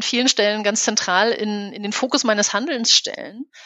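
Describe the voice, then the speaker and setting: Here is a woman with an ordinary speaking voice, fairly high in pitch, with fairly even intonation. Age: 40s. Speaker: business consultant. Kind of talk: interview.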